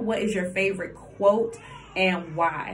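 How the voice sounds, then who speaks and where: The speaker talks at a moderate pace with an American accent, with noticeable background noise and audible room echo. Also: woman. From US South, Columbia, South Carolina. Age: 20s. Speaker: vlogger. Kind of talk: casual chat.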